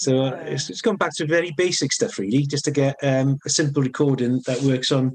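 A man's fairly high-pitched voice with a strong Welsh accent. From north Wales, now lives in Cardiff. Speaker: songwriter musician. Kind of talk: casual interview chat.

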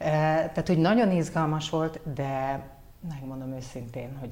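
A woman's dark, mellow tone carries vocal fry and ordinary pitch variation. She speaks at a fairly slow pace, with audible room echo. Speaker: former news anchor and model, communications head. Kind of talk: casual interview.

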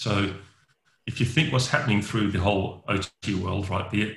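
A man's fairly low, bright and sharp voice with an Australian accent, ordinary pitch variation and a fairly quick pace. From Western Australia (Perth). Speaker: network engineer. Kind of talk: interview.

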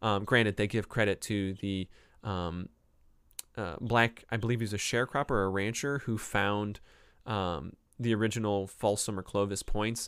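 A man with an American accent, fairly low in pitch, fairly even in intonation and moderate in pace, on a very clean recording with a silent background. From Cleveland, Ohio. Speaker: professor and podcast host. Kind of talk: casual book review talk, live stream. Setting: live YouTube recording.

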